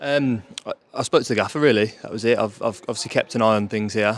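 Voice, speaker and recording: At a very fast pace, a man talks in a dry sound with no echo. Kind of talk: interview answer. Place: stadium. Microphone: handheld.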